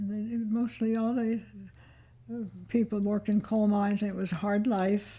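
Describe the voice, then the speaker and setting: Somewhat breathy with a dark, mellow tone, the voice moves at a fairly slow pace in monotone, flat intonation with long, frequent pauses. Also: woman, medium pitch for a woman. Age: 80s+. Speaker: retired farm-raised grandmother. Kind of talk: interview answer. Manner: reminiscing, hesitant.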